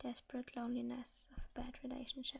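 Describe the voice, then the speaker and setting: A woman is whispering. She is soft-spoken. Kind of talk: ASMR book reading. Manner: soft-spoken, whispered.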